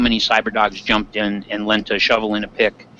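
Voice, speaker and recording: Through noticeable background noise, a man of medium pitch speaks with an American accent. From Michigan Upper Peninsula. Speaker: Minecraft server player, YouTuber. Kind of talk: casual interview chat.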